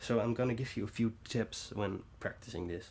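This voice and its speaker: A man speaks at a moderate pace with a Dutch accent. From Netherlands. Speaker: bass tutorial youtuber. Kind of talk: tutorial. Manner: halting.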